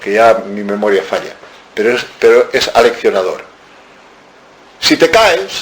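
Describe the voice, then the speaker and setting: An animated man at a fairly slow pace amid noticeable background noise. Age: 70s. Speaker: author. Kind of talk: book talk.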